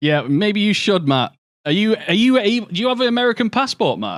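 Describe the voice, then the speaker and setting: On a very clean recording with a silent background, a man with a British accent speaks at a moderate pace in a high pitch with very wide pitch swings. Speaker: video game streamer. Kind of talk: casual livestream chat. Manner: animated.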